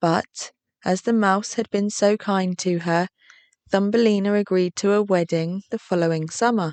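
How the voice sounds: A quiet backdrop behind a natural reading voice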